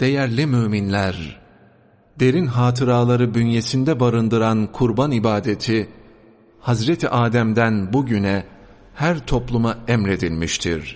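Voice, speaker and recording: A man speaks in a normal speaking voice at a medium pitch and a fairly slow pace. His loudness stays very even, and his pitch varies by an ordinary amount. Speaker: religious sermon reader. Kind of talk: mosque sermon (khutbah) reading. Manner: formal, measured sermon delivery.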